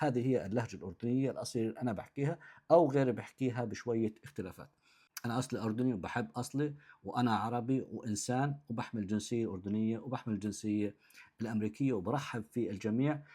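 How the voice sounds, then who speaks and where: A man speaks at medium pitch in a dark, mellow tone with ordinary pitch variation. The recording is very clean, with a silent background. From southern Jordan (Shobak). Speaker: content creator. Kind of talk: direct-to-camera talk answering comments.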